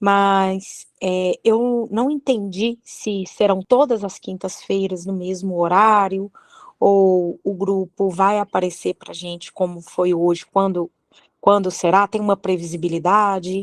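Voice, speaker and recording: Very slow pace, fairly even intonation, and a dry, close sound with no echo. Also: woman, medium pitch for a woman. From Belo Horizonte, Brazil. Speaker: study group participant. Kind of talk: question in online study group. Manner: hesitant, with fillers.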